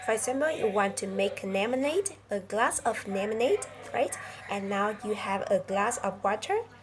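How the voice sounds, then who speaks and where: A woman with a fairly high voice speaks with ordinary pitch variation over noticeable background noise. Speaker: English teacher. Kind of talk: lesson. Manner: halting, many fillers; slow, deliberate.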